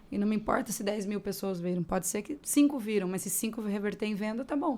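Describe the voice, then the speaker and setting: A woman's dark, mellow voice at medium pitch, fairly quick in pace, with ordinary pitch variation. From Mato Grosso do Sul, Brazil. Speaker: podcast host. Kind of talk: podcast interview.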